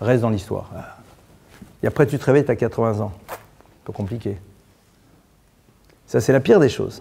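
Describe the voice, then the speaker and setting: A man's dark, mellow tone, somewhat breathy, at a medium pitch with ordinary variation, fairly quick yet with long, frequent pauses. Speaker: rabbi teaching a Torah class. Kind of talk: religious lecture. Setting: synagogue. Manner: blunt, informal.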